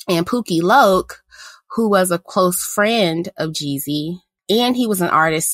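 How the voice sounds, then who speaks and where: A woman with a plain, everyday voice and an American accent speaks at a fairly slow pace with ordinary pitch variation, the sound dry and close with no echo. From US South, Mississippi. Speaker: podcast co-host. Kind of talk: casual chat.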